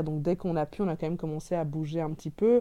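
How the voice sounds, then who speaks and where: A woman's dark, mellow tone at a fairly quick pace against a quiet background. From Belgium (childhood in Cameroon). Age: 30s. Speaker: restaurant owner. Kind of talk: interview.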